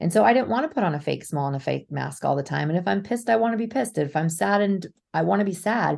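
A woman with a fairly low pitch and vocal fry talks at a very fast pace, her pitch swinging very widely. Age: 40s. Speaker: intuitive coach. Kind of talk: casual chat. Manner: animated.

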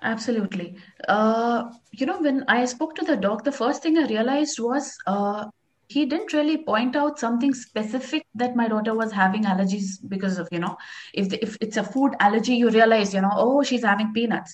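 A woman talks at a fairly high pitch. Her voice comes across somewhat breathy. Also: ordinary pitch variation, fairly quick pace. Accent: Indian. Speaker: houseplant expert. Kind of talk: casual interview chat.

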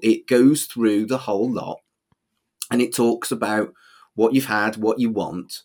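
In a very clean recording with a silent background, a man with a Manchester accent speaks at a fairly slow pace in a medium pitch. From England. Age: 40s. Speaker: humanist celebrant. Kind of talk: casual chat.

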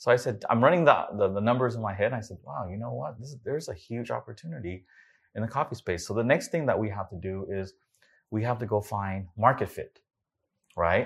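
Speaking very fast with lively intonation and an American accent, this voice breaks up its lines with long, frequent pauses against a quiet background. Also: man, medium pitch for a man. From US, California. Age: 40s. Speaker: entrepreneur. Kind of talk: interview.

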